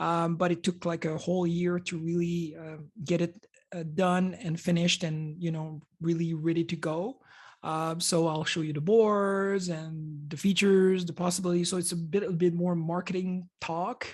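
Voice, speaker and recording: Spoken in a French Canadian accent, this voice moves at a moderate pace with a monotone, flat intonation. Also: woman, fairly low pitch for a woman. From Quebec, Canada. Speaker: computer hardware designer. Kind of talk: conference presentation. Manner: halting, many fillers.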